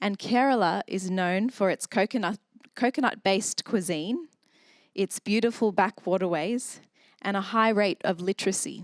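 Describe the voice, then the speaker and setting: A woman with an Australian accent at a moderate pace, medium pitch and ordinary pitch variation, in a dry, close sound with no echo on a very clean recording with a silent background. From Australia, south Sydney. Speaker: church member sharing testimony. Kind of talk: testimony.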